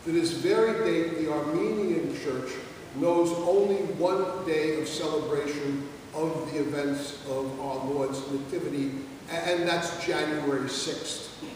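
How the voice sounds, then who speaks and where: Strong room echo and noticeable background noise surround a man speaking at a fairly high pitch. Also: fairly even intonation. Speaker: Orthodox priest. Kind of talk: sermon. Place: church. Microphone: camera far.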